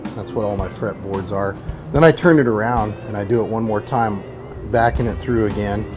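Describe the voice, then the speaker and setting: With clear music in the background, a man talks at a moderate pace in a fairly low pitch. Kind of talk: tutorial. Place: garage.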